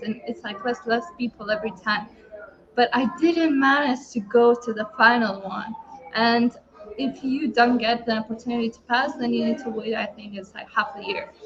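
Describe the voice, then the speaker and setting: Against noticeable background noise, a woman speaks at a moderate pace and fairly high pitch, with ordinary pitch variation. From Lithuania. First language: Lithuanian. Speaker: online entrepreneur. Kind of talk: personal story in group hangout. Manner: hesitant, many fillers.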